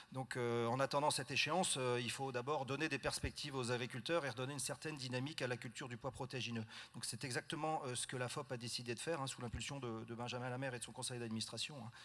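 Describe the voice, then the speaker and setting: A man talks at a very fast pace with hardly any pauses. His medium-pitched voice has a bright, sharp tone and fairly even intonation. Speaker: farmer and farm union board member. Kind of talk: panel discussion at a general assembly. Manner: hesitant, many fillers.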